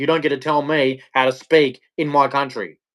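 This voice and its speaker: Speaking at a moderate pace with an Australian accent, a man with a fairly high pitch comes through in a very clean recording with a silent background. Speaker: livestreamer. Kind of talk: rant. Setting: live stream. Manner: animated.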